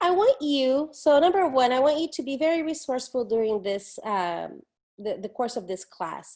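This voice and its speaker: Against a quiet background, a woman with a Portuguese accent speaks at a moderate pace in a high voice, her pitch swinging very widely. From Brazil, São Paulo. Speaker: professor. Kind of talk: recorded online lecture. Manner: casual, conversational with fillers.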